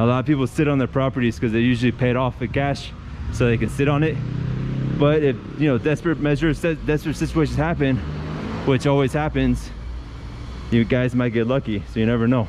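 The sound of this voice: Medium-pitched male speech at a fairly quick pace, with fairly even intonation and clear background noise.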